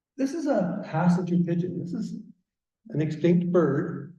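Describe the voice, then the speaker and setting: A man with a Canadian accent speaks at a high pitch in a dark, mellow tone. Audible room echo surrounds his voice. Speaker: garden naturalist speaker. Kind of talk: public talk. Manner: animated.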